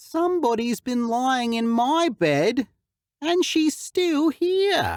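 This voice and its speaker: In a put-on character voice, a shrill, high-pitched speaker talks at a very slow pace. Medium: read story.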